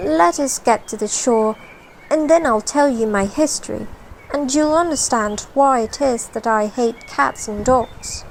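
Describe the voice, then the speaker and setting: In a put-on character voice, a woman speaks high-pitched and shaky at a fairly slow pace over clear background noise. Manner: trembling, pale with passion.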